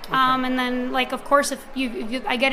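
A woman speaks in a raised, projected voice at a high pitch. There is noticeable background noise. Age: 20s. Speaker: singer and songwriter. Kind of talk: interview. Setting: live event at an art gallery.

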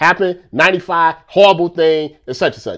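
On a very clean recording with a silent background, a man speaks in an animated tone at a fairly quick pace. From United States. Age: 30s. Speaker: podcast host and sports commentator. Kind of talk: casual monologue.

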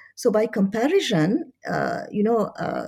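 A woman's dark, mellow voice with vocal fry and very wide pitch swings, on a very clean recording with a silent background. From France, Paris. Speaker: history professor. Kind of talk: interview. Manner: hesitant, many fillers.

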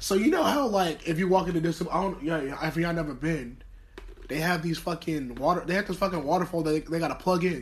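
A man with an American accent, high-pitched, at a very fast pace with ordinary pitch variation, over noticeable background noise. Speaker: podcast co-host. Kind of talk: casual chat. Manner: animated.

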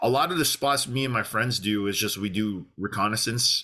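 A man's fairly low voice has a bright, sharp tone, ordinary pitch variation and a fairly quick pace. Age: 30s. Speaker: outdoor content creator. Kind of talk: casual interview chat.

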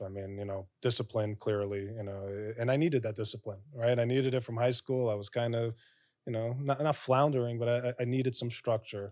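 On a very clean recording with a silent background, a man with an American accent speaks at a medium pitch in a normal speaking voice with fairly even intonation. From New York (Bronx, Lower Westchester). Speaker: commercial real estate broker. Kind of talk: interview. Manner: frequent fillers and self-corrections.

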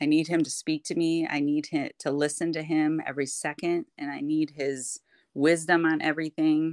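A woman with an American accent speaks at a very deep, low pitch and a moderate pace, in monotone, flat intonation. The sound is dry and close with no echo, over a quiet background. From Michigan (Kentwood). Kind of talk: testimony in casual interview.

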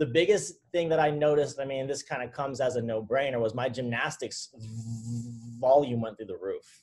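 A man with an American accent speaks at a fairly quick pace in a fairly high pitch, his voice somewhat breathy and his pitch varying in an ordinary way. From Southern California, Orange County. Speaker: CrossFit trainer and nutrition coach. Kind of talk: casual interview chat.

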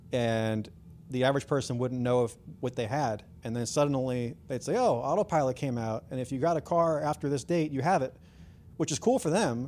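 This is a man with a plain, everyday voice at a medium pitch. He talks at a fairly quick pace with ordinary pitch variation. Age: 40s. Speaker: founder of a car tuning company. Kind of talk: casual interview chat. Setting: in person at guest's shop.

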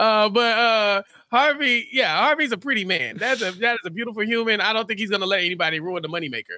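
A man talks at a very fast pace in a raised, projected voice. His pitch is high, and his tone is bright and sharp. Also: ordinary pitch variation. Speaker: podcast co-host. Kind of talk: casual podcast recap.

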